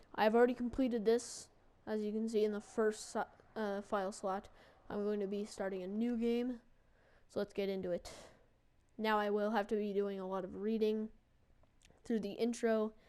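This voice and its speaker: A woman speaks at a moderate pace in a monotone, flat voice, leaving long, frequent pauses. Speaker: gaming video creator. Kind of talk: let's play commentary. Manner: casual, filler words.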